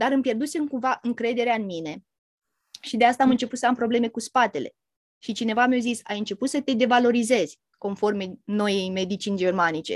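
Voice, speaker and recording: With a plain, everyday voice, a woman speaks at a fairly quick pace and a fairly high pitch with ordinary pitch variation, in a dry, close sound with no echo on a very clean recording with a silent background. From Romania. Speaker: therapist. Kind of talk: casual chat.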